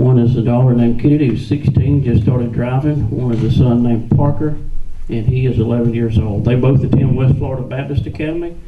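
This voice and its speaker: Over noticeable background noise and audible room echo, a man with a Southern US accent talks at a very fast pace with fairly even intonation. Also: medium pitch for a man. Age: 40s. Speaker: political candidate. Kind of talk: campaign speech at a candidate forum. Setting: public meeting with audience.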